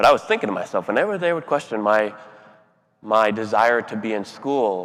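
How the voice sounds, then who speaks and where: A man's fairly low, unremarkable speaking voice, fairly quick pace and ordinary pitch variation. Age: 30s. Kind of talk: keynote speech.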